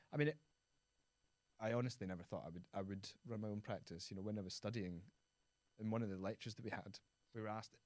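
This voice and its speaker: In a west of Scotland accent, the speaker talks at a very fast pace but leaves long, frequent pauses. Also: man, fairly low pitch for a man, ordinary pitch variation. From Scotland, Prestwick (Ayrshire). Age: 30s. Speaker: architect. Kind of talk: interview conversation.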